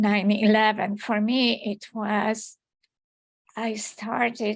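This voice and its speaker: A woman with a Polish accent speaks at a very slow pace in a fairly high pitch. Her intonation is monotone and flat. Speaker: poet. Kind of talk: panel discussion.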